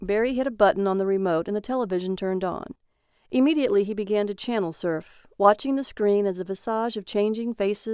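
This is plain reading aloud with ordinary pitch variation. The background stays quiet.

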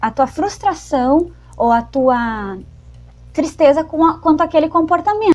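A woman's lively intonation at a fairly slow pace. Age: 20s. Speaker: podcast co-host. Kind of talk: casual chat.

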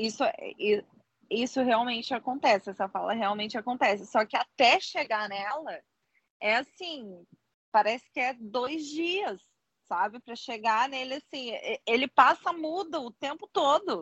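A woman's high voice, lively in intonation and fairly slow, with long, frequent pauses, big swings in loudness and a dry, close sound with no echo. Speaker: podcast co-host. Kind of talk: casual chat.

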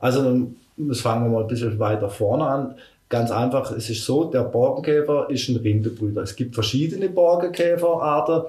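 A man talks at medium pitch and a moderate pace, somewhat breathy, with a dark, mellow tone. His pitch varies in an ordinary way, and audible room echo surrounds him. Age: 50s. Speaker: forestry worker. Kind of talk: interview.

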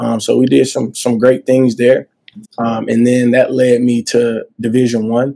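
With a Southern US accent, a man speaks at a moderate pace and medium pitch. His tone is dark and mellow, his intonation monotone and flat. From Montgomery, Alabama (US South). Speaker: college basketball coach. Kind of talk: interview.

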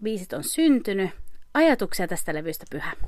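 The recording is spotless and the background is totally silent. The speaker is a woman. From Finland. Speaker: podcast host. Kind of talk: casual interview.

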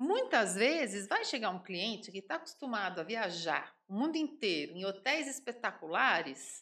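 Bright and sharp in tone, a woman speaks at a fairly high pitch with very wide pitch swings. Her pace is moderate. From São Paulo city, Brazil. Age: 50s. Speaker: home baker and entrepreneur. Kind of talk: casual interview.

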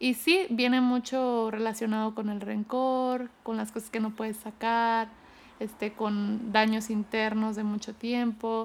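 At a very slow pace, a woman talks in a monotone, flat way in a very clean recording with a silent background. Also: fairly high pitch for a woman. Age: 30s. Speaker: cancer survivor. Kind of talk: testimony.

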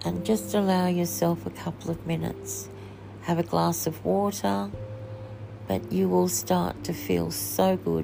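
Over noticeable background noise, a woman speaks in a soothing, gentle tone at a very deep, low pitch. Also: fairly slow pace. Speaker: podcast host leading a guided meditation. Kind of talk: guided meditation, calm relaxation script. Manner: slow, soothing, gentle; unhurried, repetitive, with long pauses.

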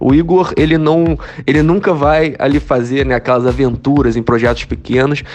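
Music plays in the background behind speech with lively intonation. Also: man. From Brazil, Rio de Janeiro. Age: 30s. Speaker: crypto YouTuber. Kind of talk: interview. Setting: remote call.

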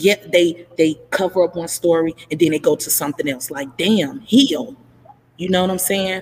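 Over noticeable background noise, a woman with a fairly low pitch speaks at a moderate pace in an animated tone with lively intonation. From Chicago, Illinois. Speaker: podcast host. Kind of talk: casual chat. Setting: at work, live stream.

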